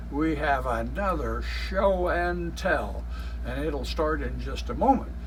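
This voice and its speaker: A man with an American accent speaks very slowly in a very deep, low pitch and monotone, flat intonation, with noticeable background noise. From Iowa, United States. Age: 70s. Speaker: railroad enthusiast and YouTube host. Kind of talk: show intro to camera.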